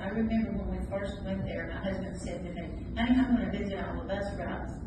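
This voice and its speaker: A woman is heard with audible room echo and loud background noise. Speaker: pastor's widow. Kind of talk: testimony. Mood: warm, reflective. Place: hall.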